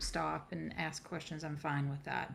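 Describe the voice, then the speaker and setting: A woman speaks with a Southern US accent. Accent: Southern American. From US South, South Carolina. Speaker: coach and healer, presenter. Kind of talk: online workshop presentation. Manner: casual, with frequent fillers.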